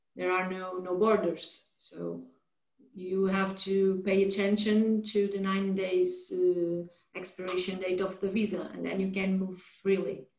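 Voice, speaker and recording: A woman speaks fairly slowly in a monotone, flat intonation. There is audible room echo over a quiet background. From Portugal. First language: Portuguese. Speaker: lawyer. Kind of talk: webinar presentation. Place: home room. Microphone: video call.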